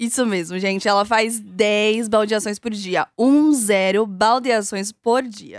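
On a very clean recording with a silent background, a woman speaks at a very slow pace. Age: young. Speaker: trainee journalist podcast host. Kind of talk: scripted narration.

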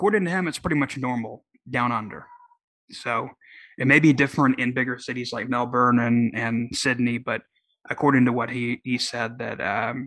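This voice has a bright, sharp tone and an American accent, moving at a moderate pace with ordinary pitch variation. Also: man, medium pitch for a man. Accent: sounds more Southern than usual. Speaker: political podcast host. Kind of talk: solo podcast commentary. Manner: casual, hesitant with many fillers.

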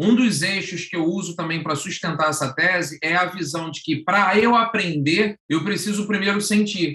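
A man's high, bright, sharp voice at a moderate pace, with ordinary pitch variation and hardly any pauses. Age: 40s. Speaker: professor and education speaker. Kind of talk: podcast panel conversation.

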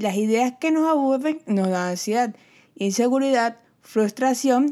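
With a Venezuelan accent, a woman speaks at a fairly slow pace with lively intonation and a fairly high pitch, in a very clean recording with a silent background. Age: 20s. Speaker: podcast host. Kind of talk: solo podcast monologue.

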